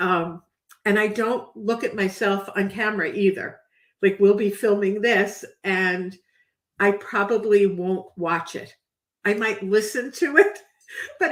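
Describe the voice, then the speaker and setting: Speaking at a fairly slow pace in a New York accent, a woman uses a medium pitch and ordinary pitch variation. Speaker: podcast host. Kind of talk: interview.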